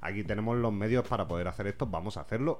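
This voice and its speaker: Music plays in the background as a man speaks. His voice is fairly low, with audible room echo. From Spain, Vega Baja (Alicante). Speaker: podcast host. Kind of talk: casual interview.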